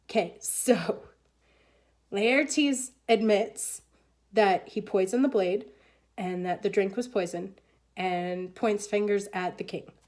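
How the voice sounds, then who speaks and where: Using a put-on character voice, a woman speaks fairly slowly at a medium pitch in a raspy tone with long, frequent pauses, in a very clean recording over a silent background. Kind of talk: classroom reading of a play, with modern paraphrase. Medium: read story. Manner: casual, conversational, teacherly.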